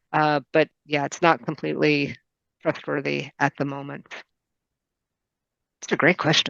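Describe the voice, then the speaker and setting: A woman with a very deep, low pitch speaks fairly slowly in a monotone, flat delivery with vocal fry and long, frequent pauses, the sound dry and close with no echo. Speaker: medical librarian presenting a webinar. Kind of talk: webinar presentation with Q&A. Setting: online video meeting, screen sharing.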